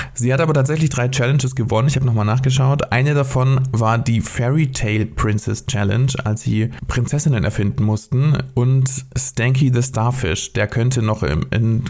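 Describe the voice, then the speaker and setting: Against noticeable background noise, a man speaks at a moderate pace and medium pitch, with ordinary pitch variation and very even loudness. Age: 30s. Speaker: podcast co-host, freelance writer. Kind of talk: casual chat.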